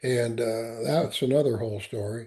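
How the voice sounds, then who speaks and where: With a dark, mellow tone that is somewhat breathy, a man speaks at a moderate pace with ordinary pitch variation. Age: 70s. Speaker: Marine veteran and entrepreneur. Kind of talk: podcast interview. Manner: halting, many repetitions.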